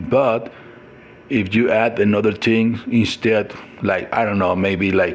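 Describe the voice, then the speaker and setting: Speech in a Mexican accent comes at a fairly slow pace over noticeable background noise. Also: man. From Mexico. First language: Spanish. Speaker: lifestyle vlogger. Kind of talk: casual monologue vlog. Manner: halting, many fillers and restarts.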